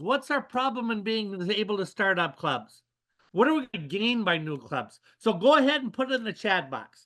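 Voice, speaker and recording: Against a quiet background, a man speaks in a raised, projected voice. His tone is bright and sharp, with very wide pitch swings. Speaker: service club leader giving a motivational talk. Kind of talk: motivational talk on a webinar. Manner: energetic, rallying.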